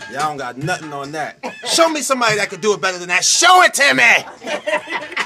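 A raised, projected voice moves at a fairly quick pace with very wide pitch swings, clear music playing in the background. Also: man, high pitch for a man. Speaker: person filming. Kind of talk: casual talk to camera. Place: studio. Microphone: phone near.

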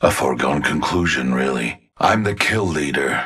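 In a put-on character voice, a man speaks at a moderate pace with an extremely low pitch, a fairly bright tone, a husky, rough edge and lively intonation.

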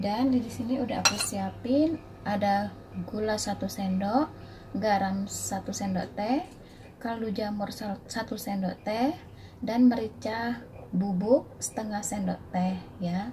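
Over light background noise, a woman talks at a very slow pace with ordinary pitch variation. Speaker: home cook vlogger. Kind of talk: cooking tutorial. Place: kitchen. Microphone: phone near.

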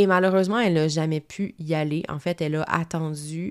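A woman with a Quebec accent speaks at a moderate pace in a very deep, low voice. The recording is very clean, with a silent background. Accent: Québécois French. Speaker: marketing coach and podcaster. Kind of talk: solo podcast talk. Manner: casual, conversational.

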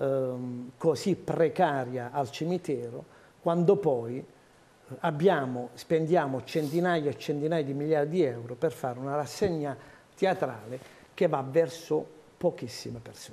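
Very slowly and with long, frequent pauses, a man talks in a fairly high voice with a dark, mellow tone and lively intonation. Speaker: majority city councillor. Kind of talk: political debate. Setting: TV studio. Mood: indignant, critical. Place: studio.

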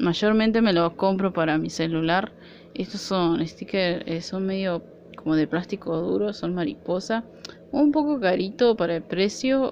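A woman speaks in an Argentine accent with lively intonation. Her pace is fairly slow, over light background noise. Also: medium pitch for a woman. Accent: Argentine Spanish (Rioplatense). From Argentina. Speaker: nail art vlogger. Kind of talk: product haul video; casual haul vlog chat. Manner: casual, hesitant. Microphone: phone near.

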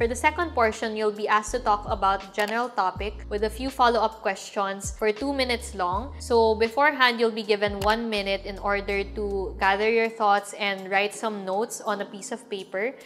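Faint music plays in the background as a woman talks at a moderate pace with hardly any pauses. Her pitch is medium and her intonation fairly even. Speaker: lifestyle and travel vlogger. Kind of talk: casual, instructional vlog. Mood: calm, friendly. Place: home room.

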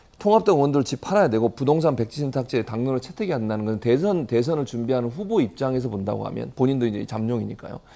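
A man talks very fast at a medium pitch, his dark, mellow tone carried by lively intonation. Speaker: professor. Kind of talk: panel discussion. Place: studio. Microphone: lapel.

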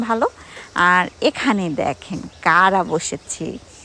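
An ordinary speaking voice from a woman with lively intonation. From Bangladesh, Gopalganj. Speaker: vlogger. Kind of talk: vlog narration.

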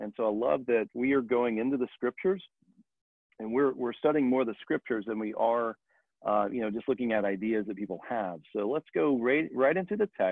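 Against a quiet background, a man speaks at a fairly quick pace with ordinary pitch variation, the sound dry with no echo. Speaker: church teacher. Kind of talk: Bible study lecture. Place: home room. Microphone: webcam.

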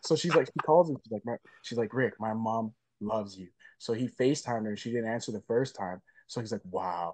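A man's voice shows big swings in loudness, with a dry sound that has no echo and a quiet background. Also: ordinary pitch variation, fairly quick pace. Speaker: actor interviewed remotely. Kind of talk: interview answer. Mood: upbeat, laughing at times. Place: home room. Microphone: video call.

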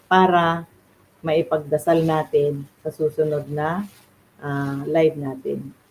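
A woman speaks very slowly, her very deep, low voice carrying fairly even intonation. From Philippines. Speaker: beautician and faith livestreamer. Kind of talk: devotional livestream talk. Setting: livestream from home. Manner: halting, many fillers.

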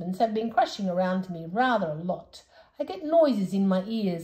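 Someone is reading aloud in a natural voice. The delivery sounds like reading.

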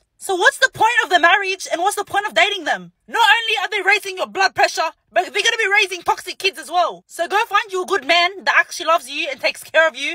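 In a raised, projected voice, a woman speaks very fast, with a dry sound and no echo. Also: quiet background. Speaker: social media creator. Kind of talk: casual vlog rant. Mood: sassy, exasperated. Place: car. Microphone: phone near.

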